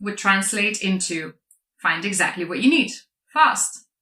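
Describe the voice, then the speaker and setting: A woman's medium-pitched voice, bright and sharp in tone, with lively intonation. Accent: Lithuanian. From Lithuania. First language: Lithuanian. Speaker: product marketer and speaker. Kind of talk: conference talk.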